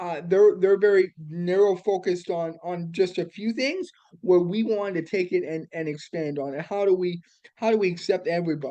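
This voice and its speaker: The voice is loud. It moves at a moderate pace. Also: man, high pitch for a man, ordinary pitch variation. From Alberta, Canada. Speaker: accessibility consultant and business founder. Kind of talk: interview. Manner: animated.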